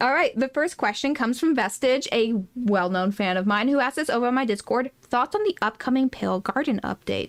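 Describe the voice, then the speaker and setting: A woman's high, animated voice with lively intonation, very even loudness and hardly any pauses. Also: fairly quick pace. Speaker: podcast co-host. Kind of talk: casual chat.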